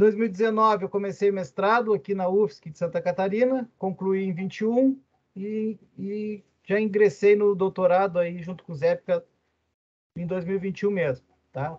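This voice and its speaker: A high-pitched man's voice with big swings in loudness. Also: ordinary pitch variation, moderate pace. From southern Brazil, Rio Grande (RS). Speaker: university lecturer and business administrator. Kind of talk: lecture. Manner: casual, with many fillers.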